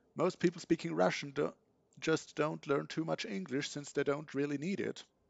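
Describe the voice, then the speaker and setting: In a German accent, a man speaks at a moderate pace with a fairly high pitch and lively intonation. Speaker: video game streamer. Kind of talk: casual chat.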